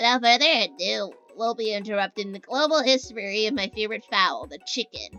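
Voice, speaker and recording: Faint music plays in the background as a woman in a put-on character voice speaks fairly quickly at a fairly high pitch. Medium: solo performance.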